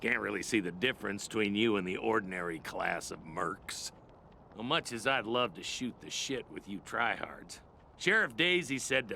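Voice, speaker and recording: A man does a put-on character voice, medium in pitch and raspy. Background noise is clearly heard. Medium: machinima. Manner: gruff, sardonic.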